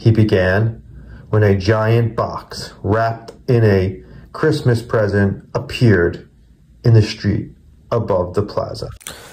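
Very slowly and somewhat breathily, a man speaks at medium pitch with fairly even intonation. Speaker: book reader, collector channel host. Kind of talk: children's book read-aloud. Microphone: phone near.

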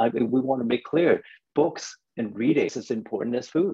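A man talks at a fairly quick pace with vocal fry and very wide pitch swings, the sound dry with no echo and the background quiet. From Hong Kong. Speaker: children's book publisher; webinar panelist. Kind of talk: panel discussion. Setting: video call. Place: home room. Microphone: earbuds.

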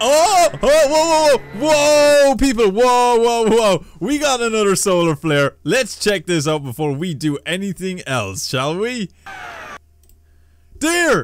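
A man speaks at a slow pace with a high pitch. His intonation is lively.

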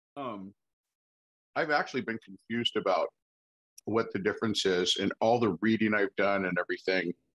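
Delivered at a moderate pace with ordinary pitch variation, the speech has long, frequent pauses against a quiet background. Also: man, fairly low pitch for a man. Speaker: peer advocate. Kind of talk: discussion question. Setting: video call. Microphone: video call.

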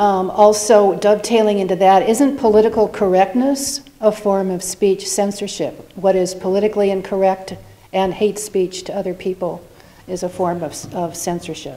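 A woman is speaking at a moderate pace. Her intonation is fairly even. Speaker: audience member. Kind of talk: audience question. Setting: live event with audience. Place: hall. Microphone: podium.

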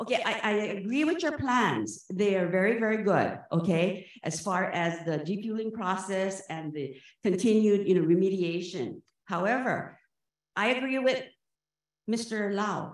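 A woman with lively intonation at a fairly slow pace, with audible room echo and a quiet background. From Hawaii. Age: 60s. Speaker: public commenter at a government meeting. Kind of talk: public comment. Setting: public meeting. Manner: animated. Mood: impassioned, indignant. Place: hall. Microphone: podium.

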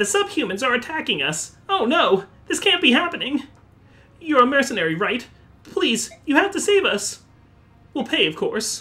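In a put-on character voice, high-pitched with very wide pitch swings, the speaker goes at a moderate pace with long, frequent pauses. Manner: panicked, pleading.

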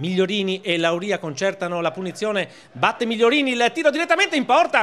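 A man speaks at a moderate pace in a raised, projected voice with an excited tone and very wide pitch swings, over noticeable background noise. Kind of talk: live football commentary. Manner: rising, excited on shots, saves and goals.

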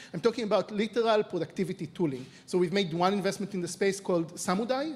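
A man speaks with an Israeli accent. His pace is very fast. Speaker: venture capital investor; panelist. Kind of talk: panel discussion. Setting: stage with audience. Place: stage. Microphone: handheld.

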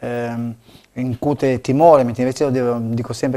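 Against a quiet background, the speaker talks at a very fast pace in a dark, mellow tone. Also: man. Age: 50s. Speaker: local election candidate; candidate. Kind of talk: TV interview. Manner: halting, many fillers and repetitions. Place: studio. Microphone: lapel.

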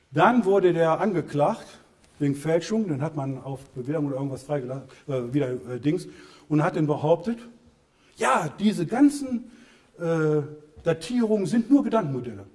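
Against a quiet background, a man with a fairly high pitch and very wide pitch swings talks at a moderate pace with long, frequent pauses. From Germany, Lower Rhine / Bergisches Land (Solingen); Germany. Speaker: author and civil engineer giving a talk; lecturer. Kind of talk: public lecture with slides. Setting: lecture hall with audience. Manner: halting, many fillers. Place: hall.

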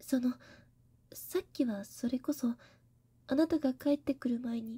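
This speaker is soft-spoken and whispering. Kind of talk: roleplay drama monologue. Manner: soft, embarrassed whisper.

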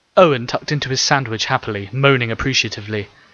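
Someone is reading aloud in a natural voice. The delivery stays natural throughout.

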